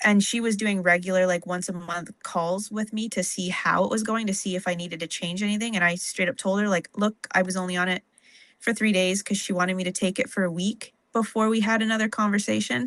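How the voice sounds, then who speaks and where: A woman talks at a fairly quick pace in an unremarkable speaking voice. Her pitch is medium and her intonation fairly even, over a quiet background. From Ontario, Canada. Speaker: stock car racer. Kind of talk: interview about personal experience. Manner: casual, filler-heavy.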